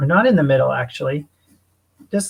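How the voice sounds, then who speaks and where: His intonation is lively. This man's pitch sits fairly high. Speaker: illustrator teaching a drawing class. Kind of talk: online tutorial. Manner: chatty.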